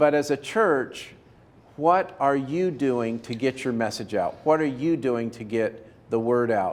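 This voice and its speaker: In a normal speaking voice, the speaker goes at a fairly slow pace with lively intonation. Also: man, medium pitch for a man. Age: 60s. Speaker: video production consultant. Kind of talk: casual chat.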